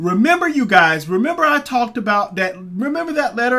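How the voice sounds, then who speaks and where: This man uses a raised, projected voice with a bright, sharp tone. He talks at a fairly quick pace with lively intonation. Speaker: crypto commentary youtuber. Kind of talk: casual video commentary. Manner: fast; halting, many fillers.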